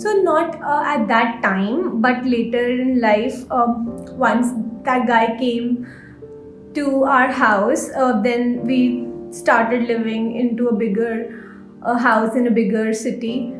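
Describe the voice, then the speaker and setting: Music plays in the background as a woman speaks at a very slow pace. Her intonation is fairly even, and her loudness very even. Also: fairly high pitch for a woman. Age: 20s. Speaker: guest sharing personal story. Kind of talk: interview answer.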